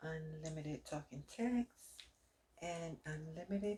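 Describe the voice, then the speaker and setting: A soft-spoken, somewhat breathy voice with a dark, mellow tone at a fairly slow pace. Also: woman. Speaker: ASMR creator doing customer service roleplay. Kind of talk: customer service phone roleplay.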